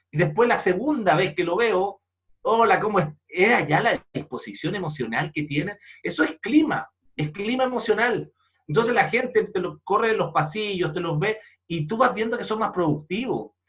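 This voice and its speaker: A man with a Chilean accent, high-pitched, lively in intonation, at a moderate pace. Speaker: leadership speaker and foundation president. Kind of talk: interview. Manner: animated storytelling.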